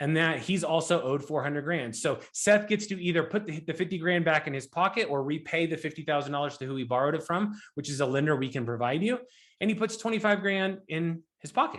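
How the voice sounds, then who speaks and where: With ordinary pitch variation and a fairly high voice, a man talks very fast. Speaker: real estate investor and note investing teacher. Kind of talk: educational presentation. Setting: live online event for students.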